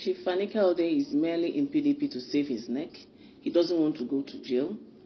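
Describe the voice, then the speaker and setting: A woman with a Nigerian accent, against light background noise. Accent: Nigerian Igbo English. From Nigeria, Anambra State (Igbo). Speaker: politician. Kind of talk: public statement. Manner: formal. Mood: critical, accusing. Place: home room. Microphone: phone near.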